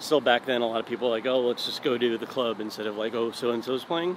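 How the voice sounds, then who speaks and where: A man's fairly even intonation over noticeable background noise, dry with no echo. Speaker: interviewee. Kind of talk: interview answer. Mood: relaxed, friendly. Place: street. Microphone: phone near.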